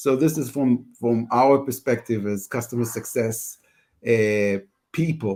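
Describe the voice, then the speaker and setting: Speaking with an Israeli accent, a man uses a dark, mellow tone at medium pitch, with ordinary pitch variation and a moderate pace. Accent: Hebrew. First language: Hebrew. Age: 40s. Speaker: customer success head. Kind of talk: panel discussion. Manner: halting, repetitive.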